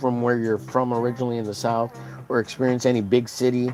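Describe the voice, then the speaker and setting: A man with an American accent talks very fast at a medium pitch, with noticeable background noise. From Texas. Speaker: art streamer. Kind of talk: casual live-stream chat. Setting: live stream. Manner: chatty, many fillers.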